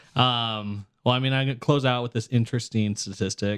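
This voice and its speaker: A plain, everyday voice from a man, fairly quick and fairly even in intonation, with a dry, close sound and no echo. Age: 20s. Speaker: podcast host for political advocacy group. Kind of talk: casual chat.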